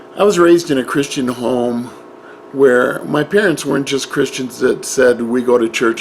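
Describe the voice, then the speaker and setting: Noticeable background noise is heard behind a man. He speaks at a moderate pace in a medium pitch. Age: 60s. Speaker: Bible teacher. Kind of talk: personal introduction monologue. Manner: halting.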